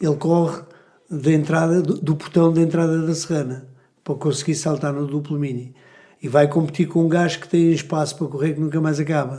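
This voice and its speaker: Fairly high in pitch for a man, his voice has a dark, mellow tone and a monotone, flat intonation. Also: fairly quick pace. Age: 60s. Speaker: gymnastics coach. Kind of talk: casual chat. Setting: podcast studio.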